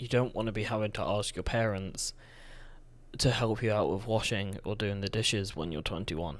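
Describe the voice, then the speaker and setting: Soft-spoken, a man talks at a moderate pace with a fairly low pitch and fairly even intonation. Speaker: vlogger. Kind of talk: personal testimony monologue. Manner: halting.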